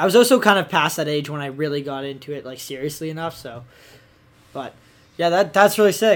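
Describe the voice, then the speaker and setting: A man with an ordinary speaking voice and a Canadian accent talks at a fairly quick pace and fairly high pitch, his intonation lively and his loudness swinging widely. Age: 20s. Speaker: podcast host, freestyle skier. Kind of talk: casual chat, interview. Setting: studio. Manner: casual, slangy, fillers.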